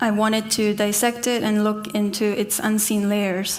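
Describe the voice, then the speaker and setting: Noticeable background noise and audible room echo surround a woman with a fairly high pitch speaking at a moderate pace. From South Korea, Seoul. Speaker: artist. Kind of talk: conference talk.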